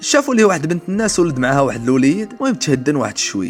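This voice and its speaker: A man talks at a very fast pace with very wide pitch swings, music playing in the background. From Morocco. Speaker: storyteller. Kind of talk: true crime story narration.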